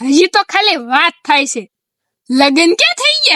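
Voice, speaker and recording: A woman performs a put-on character voice at an extremely high pitch. Her pitch swings very widely as she goes at a fairly slow pace. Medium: comedy sketch.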